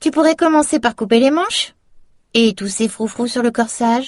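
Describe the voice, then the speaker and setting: A put-on character voice with a fairly high pitch at a moderate pace. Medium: read story.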